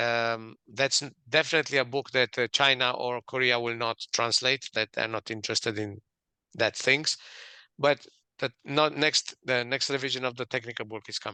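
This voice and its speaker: A man with a Romanian accent speaks at medium pitch and moderate pace in a bright, sharp tone with fairly even intonation, his sound dry and close with no echo against a quiet background. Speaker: author and management expert. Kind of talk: interview.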